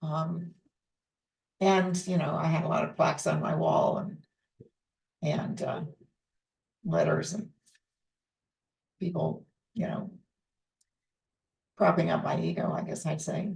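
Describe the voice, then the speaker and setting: The speaker talks at a fairly slow pace with long, frequent pauses, vocal fry and a monotone, flat intonation. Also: woman. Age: 80s+. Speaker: teacher of a psychological approach. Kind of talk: personal reflective message. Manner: hesitant with fillers.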